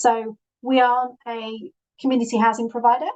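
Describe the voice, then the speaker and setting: Recorded dry and close with no echo, a woman speaks in a Yorkshire accent at a fairly high pitch. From northern England, Yorkshire (Leeds). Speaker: social housing professional. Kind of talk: presentation. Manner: halting, many fillers.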